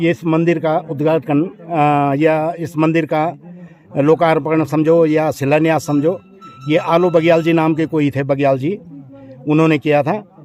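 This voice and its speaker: A man's fairly high-pitched voice in a monotone, flat intonation, with music in the background. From Uttarakhand, Garhwal hills. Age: 60s. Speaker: local villager. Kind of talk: storytelling interview. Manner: halting.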